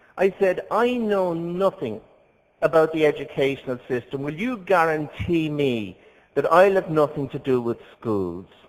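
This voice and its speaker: Pitch swings very widely from a man with a fairly high voice. He keeps a moderate pace. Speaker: priest. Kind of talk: conference talk.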